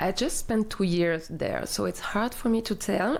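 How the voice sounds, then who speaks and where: Speaking with a French accent, this woman keeps to a fairly slow pace. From southern France. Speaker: community life coordinator. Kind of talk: casual interview. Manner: halting, with fillers.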